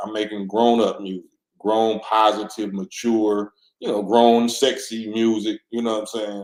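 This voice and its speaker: At a moderate pace, a man talks with a fairly low pitch. His intonation is monotone and flat. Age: 50s. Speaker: rapper and livestream host. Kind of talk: live Q&A reading viewer comments. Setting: livestream. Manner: casual, repetitive restarts.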